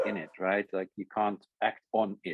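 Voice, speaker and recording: The sound is dry and close, with no echo. A man speaks at a fairly low pitch with a Dutch accent. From Netherlands. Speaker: essay author. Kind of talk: conversation. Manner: halting.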